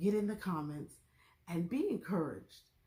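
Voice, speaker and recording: This woman's voice is somewhat breathy and dark and mellow in tone, moving at a moderate pace. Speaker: YouTube TV show reviewer. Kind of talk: casual vlog review. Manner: soft-spoken.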